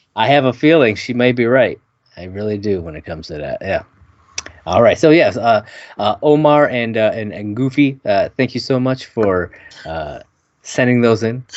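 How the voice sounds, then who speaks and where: A man with an unremarkable speaking voice talks at a moderate pace and medium pitch, with big swings in loudness. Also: lively intonation. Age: 30s. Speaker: podcast co-host. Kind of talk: casual chat.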